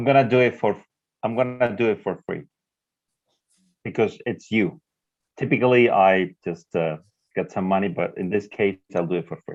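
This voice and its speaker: Long, frequent pauses break up a man's moderate-paced speech, which has a Spanish accent and ordinary pitch variation. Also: fairly low pitch for a man. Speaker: professor. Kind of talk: live interpreting in a video conference.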